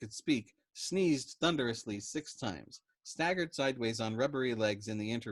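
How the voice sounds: A natural reading voice, its intonation lively, set against a quiet background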